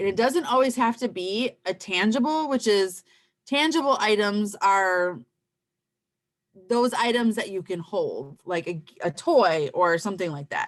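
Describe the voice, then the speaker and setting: A normal speaking voice, a woman's at a fairly high pitch and fairly slow pace, with lively intonation. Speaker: parenting class instructor. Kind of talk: online class presentation.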